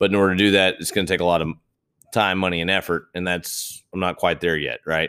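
On a very clean recording with a silent background, a man with a very deep, low pitch talks very fast with fairly even intonation. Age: 30s. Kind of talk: solo motivational monologue. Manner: casual, filler-heavy.

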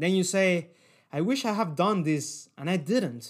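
Animated, high-pitched male voice with a non-native accent and lively intonation, on a very clean recording with a silent background. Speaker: podcast host. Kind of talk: motivational talk.

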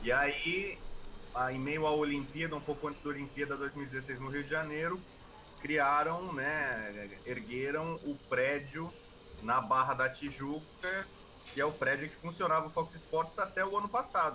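A man's fairly high voice at a fairly slow pace, with ordinary pitch variation and noticeable background noise. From Brazil, São Paulo. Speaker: sports journalist and commentator. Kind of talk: interview.

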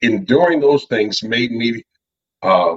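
His pace is moderate. The man has a normal speaking voice with a medium pitch. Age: 40s. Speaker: motivational speaker and powerlifter. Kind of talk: casual interview.

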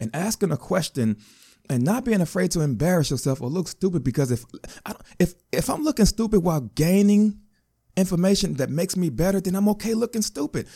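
With an American accent, a man talks fairly quickly in a high pitch. His tone is dark and mellow, and his pitch swings very widely. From Chicago, US Midwest. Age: 30s. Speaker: podcast host. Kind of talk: personal testimony monologue. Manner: halting.

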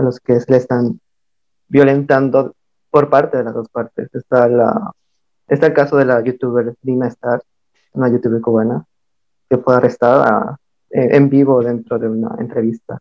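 A man of medium pitch speaks at a moderate pace with fairly even intonation. Long, frequent pauses break up his speech. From Mixtec community, coast of Oaxaca, Mexico. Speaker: artist collective member. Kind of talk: casual discussion.

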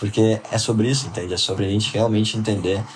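The speech moves at a fairly quick pace. Noticeable background noise runs under it. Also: man. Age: 20s. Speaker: entrepreneur. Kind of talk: casual interview.

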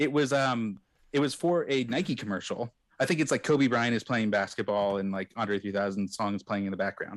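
Here a man has an unremarkable speaking voice at medium pitch, talking at a fairly quick pace with lively intonation. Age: 30s. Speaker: podcaster. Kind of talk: casual chat. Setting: remote live stream.

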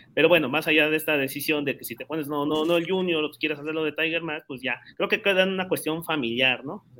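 Here a man talks at a very fast pace in a Mexican accent, his tone bright and sharp. His intonation is fairly even, though his loudness swings widely. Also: fairly high pitch for a man, hardly any pauses. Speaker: podcast co-host. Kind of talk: casual chat.

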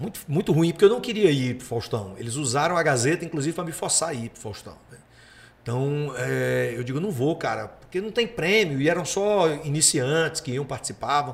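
A man with a fairly high voice speaks at a moderate pace, somewhat breathy, with lively intonation and big swings in loudness. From Paraíba, Brazilian Northeast. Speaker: comedian. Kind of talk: casual chat.

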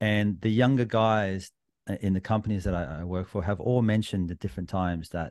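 Over a quiet background, a man talks at a very fast pace. He has a fairly low pitch and an Australian accent. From New South Wales, Australia. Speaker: sports podcaster. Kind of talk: casual chat.

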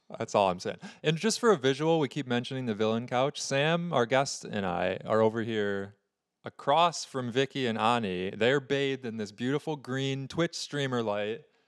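In a very clean recording with a silent background, a man with an unremarkable speaking voice talks at a moderate pace, medium in pitch, with lively intonation. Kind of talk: casual chat.

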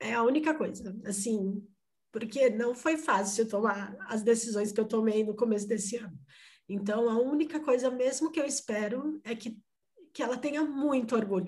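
A woman with a somewhat breathy, fairly high voice talks at a moderate speed, her pitch varying in an ordinary way. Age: 30s. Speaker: mother sharing life story. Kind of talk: interview testimony.

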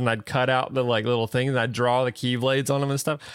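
In a very clean recording with a silent background, a man with a Southern US accent and medium pitch talks at a very fast pace with fairly even intonation. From US South. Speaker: podcast co-host. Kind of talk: casual chat. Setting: live stream with chat.

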